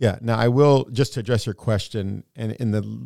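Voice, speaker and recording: With an American accent and a plain, everyday voice, a man speaks at a moderate pace in a fairly low pitch with ordinary pitch variation, recorded very cleanly with a silent background and a dry, close sound with no echo. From United States, Palestinian-American family. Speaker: podcast co-host. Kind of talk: casual discussion.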